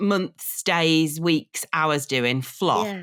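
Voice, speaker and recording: A woman with a Birmingham accent is heard on a very clean recording with a silent background. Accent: Brummie. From Birmingham, England. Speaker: content creator. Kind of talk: casual chat.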